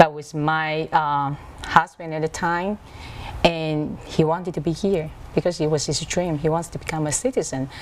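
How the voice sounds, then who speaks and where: A woman with a very deep, low voice speaks with big swings in loudness over noticeable background noise. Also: moderate pace. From Taiwan, Taipei. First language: Mandarin Chinese. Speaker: author. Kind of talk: TV interview. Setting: video call.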